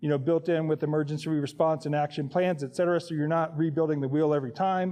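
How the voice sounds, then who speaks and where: With an American accent, a man talks at a very fast pace, his fairly high pitch held in fairly even intonation. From Indiana. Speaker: scout volunteer leader. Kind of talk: presentation.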